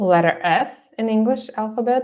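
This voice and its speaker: A woman speaks with a Russian accent. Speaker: artist. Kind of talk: seminar presentation. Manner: halting, many fillers.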